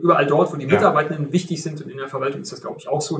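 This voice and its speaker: A man's very fast, fairly high-pitched, somewhat breathy voice with ordinary pitch variation. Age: 50s. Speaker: IT company executive. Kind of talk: interview.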